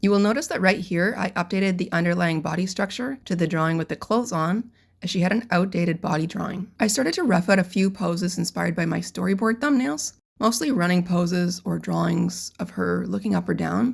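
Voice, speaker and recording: Recorded very cleanly against a silent background, a woman with vocal fry talks at a fairly quick pace in a fairly low pitch, with ordinary pitch variation. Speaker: character designer and animation artist. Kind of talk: tutorial narration.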